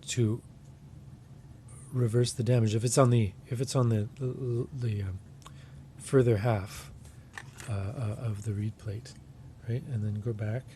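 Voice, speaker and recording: A man with a dark, mellow, somewhat breathy voice at medium pitch speaks fairly slowly, with ordinary pitch variation, big swings in loudness, and long, frequent pauses. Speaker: harmonica customizer. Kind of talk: tutorial demonstration. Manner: casual, hesitant.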